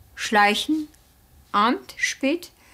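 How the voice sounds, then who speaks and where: A woman speaks with a Turkish accent. Her pace is very slow. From Turkey. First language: Turkish (speaking German). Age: 30s. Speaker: former factory worker, documentary subject; former factory worker, interviewee. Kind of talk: documentary interview, personal recollection. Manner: halting, with hesitations and self-corrections. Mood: calm, reflective recounting. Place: studio.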